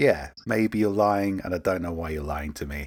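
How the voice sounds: On a very clean recording with a silent background, a man speaks at a low pitch. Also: ordinary pitch variation, moderate pace.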